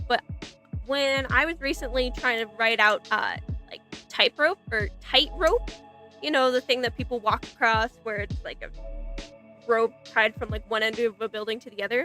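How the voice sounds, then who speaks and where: Over music in the background, a woman with a fairly high pitch leaves long, frequent pauses and swings widely in loudness. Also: ordinary pitch variation, moderate pace, dry, close sound with no echo. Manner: casual conversational.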